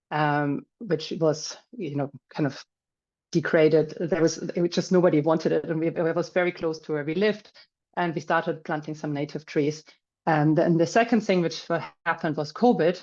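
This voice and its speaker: With a German accent, a woman speaks at a moderate pace in a very deep, low pitch and fairly even intonation. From Germany. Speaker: finance professional and landowner. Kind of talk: webinar talk. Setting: video call.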